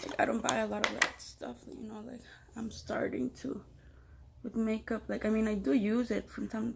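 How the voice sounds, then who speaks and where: With a Spanish accent, a woman speaks at a moderate pace. Her fairly high voice carries vocal fry. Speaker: beginner makeup vlogger. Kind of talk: tutorial. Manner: casual, hesitant with many fillers.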